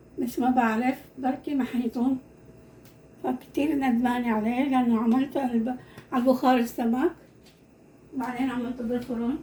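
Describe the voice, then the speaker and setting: Noticeable background noise runs under a woman with a high pitch and monotone, flat intonation. She keeps a moderate pace with long, frequent pauses. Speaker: home cooking video host. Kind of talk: cooking tutorial. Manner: halting, repeats words.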